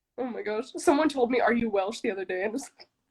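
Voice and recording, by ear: A woman talks at a fast pace in a fairly high pitch, with a slightly mellow tone, a slightly husky edge and ordinary pitch variation.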